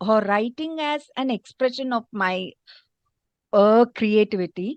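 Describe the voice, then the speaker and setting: Lively intonation marks this woman's speech. The sound is dry and close with no echo, over a quiet background. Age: 50s. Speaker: curriculum designer. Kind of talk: interview. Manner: halting, many fillers.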